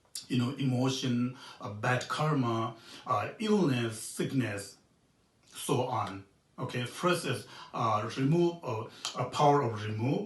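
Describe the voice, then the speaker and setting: A man with a Tibetan accent speaks at medium pitch and a very slow pace, with lively intonation, long, frequent pauses and audible room echo. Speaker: Buddhist monk teacher. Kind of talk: dharma teaching. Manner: halting, many fillers.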